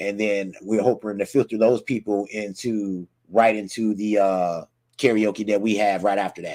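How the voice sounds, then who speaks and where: A man speaks with a fairly low pitch. His tone is dark and mellow. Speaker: livestream host. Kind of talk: casual livestream chat. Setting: livestream. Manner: fast; animated.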